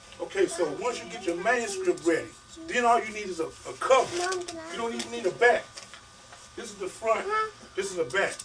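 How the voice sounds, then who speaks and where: Amid noticeable background noise, the speaker goes at a fairly quick pace with long, frequent pauses, very wide pitch swings and big swings in loudness. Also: man, high pitch for a man. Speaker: author giving a publishing workshop. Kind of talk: workshop talk to an audience. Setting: bookstore event with audience. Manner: fast; animated.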